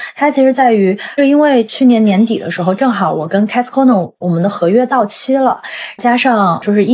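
A woman's voice with ordinary pitch variation. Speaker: travelling swing dancer. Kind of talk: casual interview chat. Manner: talkative.

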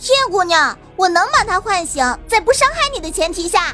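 Over faint music in the background, a woman does a put-on character voice at an extremely high pitch, bright and sharp in tone, with lively intonation at a moderate pace.

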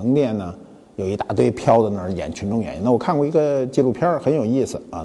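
Noticeable background noise surrounds a man talking at a moderate pace and a medium pitch. His tone is animated, with very wide pitch swings. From Beijing. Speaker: talk show host, museum founder. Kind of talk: casual monologue talk show. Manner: colloquial, animated.

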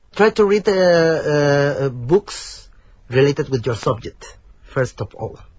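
A somewhat breathy man's voice, fairly high in pitch, with lively intonation and a very slow pace. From Mexico. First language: Spanish. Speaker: PhD student. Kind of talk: interview. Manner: halting.

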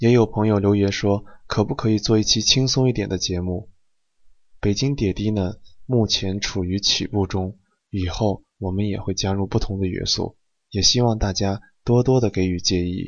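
Fairly even intonation in a man's fairly low-pitched voice. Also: moderate pace. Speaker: podcast host. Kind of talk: casual chat. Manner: soft-spoken.

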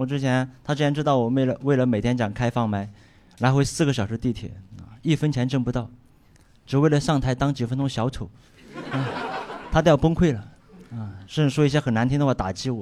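A man with a Sichuan accent talks at a fairly quick pace and a medium pitch, with ordinary pitch variation. He leaves long, frequent pauses, and background noise is noticeable. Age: 20s. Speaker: stand-up comedian. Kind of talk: stand-up.

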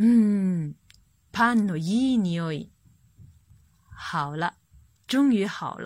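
A somewhat breathy woman at a very slow pace, with lively intonation and long, frequent pauses, on a very clean recording with a silent background. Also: medium pitch for a woman. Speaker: children's Japanese teacher and storyteller. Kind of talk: reading aloud a picture book for children. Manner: animated.

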